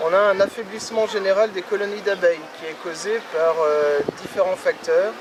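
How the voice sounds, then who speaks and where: With noticeable background noise behind him, a man talks in a high pitch at a moderate pace with fairly even intonation. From France, Roanne area (Loire). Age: 30s. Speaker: beekeeper. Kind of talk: interview.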